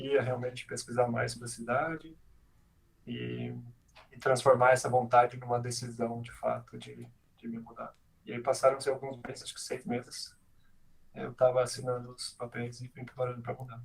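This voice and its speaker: A somewhat breathy man speaks in a monotone, flat intonation, with big swings in loudness and long, frequent pauses. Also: medium pitch for a man, moderate pace. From Brazil, Santa Catarina and Goiânia. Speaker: software engineering manager. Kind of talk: casual interview chat. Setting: live stream video call.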